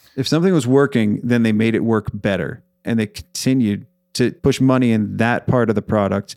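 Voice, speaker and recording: In a very clean recording with a silent background and a dry, close sound with no echo, the voice is energetic and animated at a fairly quick pace, with very even loudness and ordinary pitch variation. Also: man, medium pitch for a man. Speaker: accounting firm owner and podcaster. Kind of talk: casual interview chat. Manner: talkative, energetic, animated.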